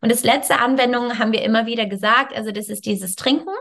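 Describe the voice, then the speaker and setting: A woman's high-pitched voice with ordinary pitch variation, on a very clean recording with a silent background. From Canada. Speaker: yoga teacher and wellness coach. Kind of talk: interview. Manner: halting.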